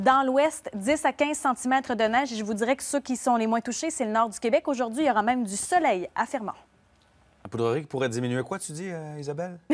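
With a Quebec accent, a woman speaks fairly quickly in a fairly high voice, her pitch swinging very widely and her loudness shifting in big swings. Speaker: TV weather presenter. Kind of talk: live televised weather report with co-host banter. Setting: TV studio. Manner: brisk, rattling off regions and snowfall totals; self-deprecating, laughs off a word-finding stumble. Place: studio. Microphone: lapel.

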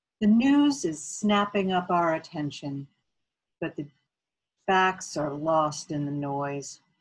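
Long, frequent pauses break up a woman's very slow speech. Her pitch is fairly low with ordinary variation, over a quiet background. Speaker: local poet. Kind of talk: poetry reading of her own sestina, with a short spoken introduction. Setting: video recording for an arts festival. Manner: measured, earnest, rallying tone, with repeated refrain words. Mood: measured, reflective. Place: home room. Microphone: webcam.

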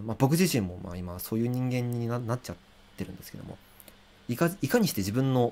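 This is a man speaking. He goes at a fairly quick pace. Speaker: musician and livestreamer; livestreamer. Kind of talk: casual livestream talk. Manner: many filler hesitations. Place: home room.

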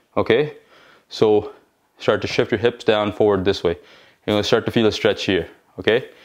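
A man with an unremarkable speaking voice and a fairly low pitch talks at a moderate pace over a quiet background. His intonation is fairly even and his loudness very even. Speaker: fitness instructor. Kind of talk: workout instruction. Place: empty room.

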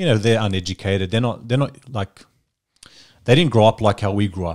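A man talks at a fairly quick pace and a fairly low pitch. His tone is slightly mellow. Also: ordinary pitch variation.

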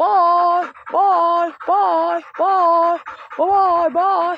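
An extremely high-pitched, put-on character voice. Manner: playful, cute.

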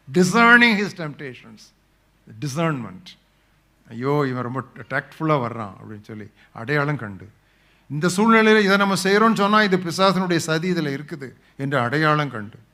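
Very wide pitch swings and big swings in loudness, with audible room echo. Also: man, fairly high pitch for a man. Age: 70s. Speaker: preacher. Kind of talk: sermon.

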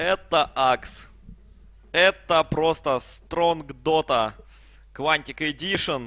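The voice has a bright, sharp tone and lively intonation, moving at a very slow pace. The sound is dry and close, with no echo. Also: man. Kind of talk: live commentary. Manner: animated.

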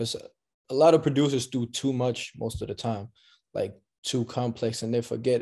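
A man with a dark, mellow tone, fairly even intonation and a moderate pace, against a quiet background. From Denmark. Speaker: music producer; guest. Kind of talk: interview; interview answer. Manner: halting. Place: home room. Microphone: video call.

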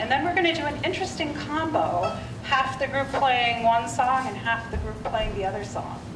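Music plays in the background. A woman speaks in a high voice. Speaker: music teacher. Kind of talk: concert introduction. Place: hall. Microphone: headset.

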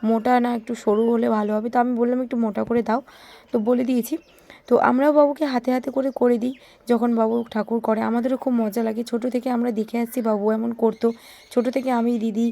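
In a fairly high voice, a woman speaks with monotone, flat intonation. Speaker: village vlogger. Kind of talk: vlog narration. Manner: casual, chatty.

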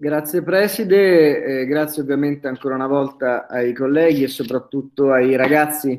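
A man speaks at a moderate pace with hardly any pauses. His intonation stays fairly even. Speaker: lecturer. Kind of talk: lecture. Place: home room.

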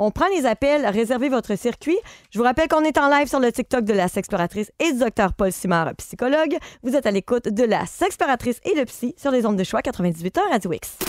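Against a quiet background with a dry sound and no echo, a woman speaks at a fairly quick pace and high pitch, with very wide pitch swings and very even loudness. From Quebec. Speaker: radio host. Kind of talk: radio call-in show. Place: studio.

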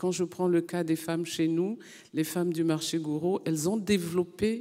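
Fairly low and dark, mellow in tone, a woman speaks at a moderate pace with fairly even intonation. The background is quiet. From Côte d'Ivoire. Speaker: senator. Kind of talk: panel discussion. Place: hall. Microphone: handheld.

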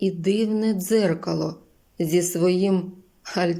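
A text is being read aloud in a natural voice.

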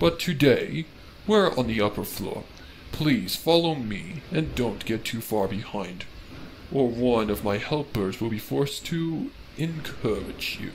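Background noise is clearly audible. The speech has lively intonation at a fairly slow pace. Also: man, medium pitch for a man. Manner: sneering, mock-courteous, gleeful.

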